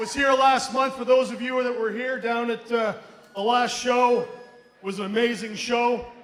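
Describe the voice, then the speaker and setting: Amid noticeable background noise and audible room echo, a man speaks at a moderate pace in an extremely high pitch with monotone, flat intonation. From Moncton, New Brunswick, Canada (Acadian). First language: French. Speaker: professional wrestler. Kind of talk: wrestling promo. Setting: ring with live audience.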